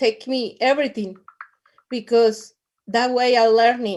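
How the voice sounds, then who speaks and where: Woman with a Latin American accent, fairly high-pitched, at a fairly slow pace with fairly even intonation. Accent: non-native English, Latin American. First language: Spanish. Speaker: network marketing distributor. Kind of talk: testimony. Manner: halting, repeats words.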